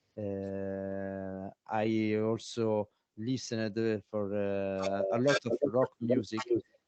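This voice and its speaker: The speaker has an Italian accent and a monotone, flat intonation at a very slow pace. The sound is dry and close, with no echo. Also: man, fairly low pitch for a man. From Italy. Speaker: didgeridoo player. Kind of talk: interview. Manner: halting, many fillers.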